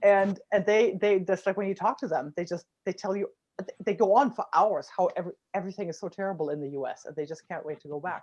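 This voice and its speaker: Someone with a German accent talks at a very fast pace. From Germany, Rhineland. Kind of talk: casual chat.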